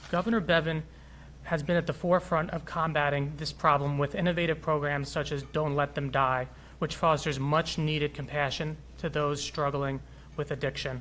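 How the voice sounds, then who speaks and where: At a moderate pace, a man with an American accent speaks in a fairly high pitch with monotone, flat intonation. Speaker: physician, health executive. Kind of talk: prepared speech. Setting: city hall with audience.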